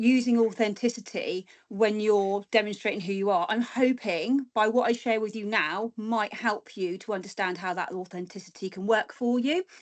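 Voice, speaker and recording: With a normal speaking voice, a woman talks at a moderate pace in a fairly high pitch, her intonation fairly even and hardly any pauses breaking her speech. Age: 40s. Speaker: guest speaker, former weather presenter. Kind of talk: presentation.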